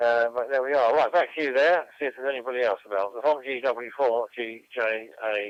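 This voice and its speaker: A man with a British accent, medium-pitched, at a fairly quick pace. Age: 70s. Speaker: amateur radio operator. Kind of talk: radio net conversation. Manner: halting.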